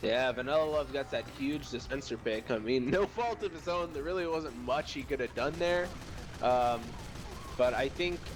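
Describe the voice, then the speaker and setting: This man keeps a moderate pace while noticeable noise sits in the background. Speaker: esports match shoutcaster. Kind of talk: live game shoutcast commentary. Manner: casual, joking with co-caster.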